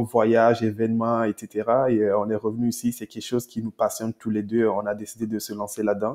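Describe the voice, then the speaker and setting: An ordinary speaking voice at a fairly quick pace. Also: man. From Togo, West Africa. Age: 20s. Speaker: entrepreneur. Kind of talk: interview.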